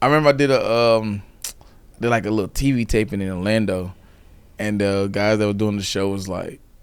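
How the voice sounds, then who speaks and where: Fairly quick speech from a man with a Southern US accent, fairly low in pitch, with fairly even intonation. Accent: Southern US (Georgia). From US South, central Georgia. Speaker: stand-up comedian. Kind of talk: casual chat.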